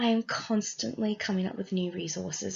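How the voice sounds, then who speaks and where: With an Australian accent, a woman speaks at a medium pitch in a somewhat breathy voice. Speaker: student teacher. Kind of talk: class presentation. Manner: scripted, read from notes.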